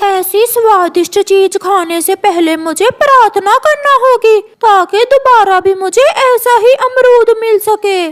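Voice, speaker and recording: A woman's cartoonish character voice, extremely high-pitched, at a fairly slow pace. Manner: sing-song, childish.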